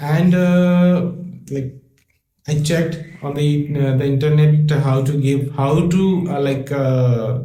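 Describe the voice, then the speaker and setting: Heard with audible room echo, a man speaks at a very slow pace in a dark, mellow, somewhat breathy tone with fairly even intonation. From Assam, northeast India. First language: Bengali. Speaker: airline customer care executive. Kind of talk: mock interview. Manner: halting, many fillers.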